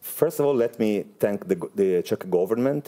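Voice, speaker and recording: A man's dark, mellow voice with an Italian accent, lively intonation and a moderate pace. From Italy. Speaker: space industry executive. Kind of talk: interview. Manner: halting, many filler sounds.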